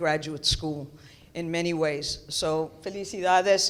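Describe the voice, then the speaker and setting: Her intonation fairly even, a woman talks with a New York accent. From New York City, the Bronx. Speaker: theology professor. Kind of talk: keynote lecture.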